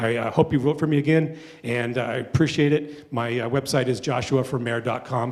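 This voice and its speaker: A man with an American accent speaks at a medium pitch. His intonation is fairly even, and there is noticeable background noise. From Parker, Colorado. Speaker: town council candidate. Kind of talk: candidate forum closing statement. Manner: fast; passionate.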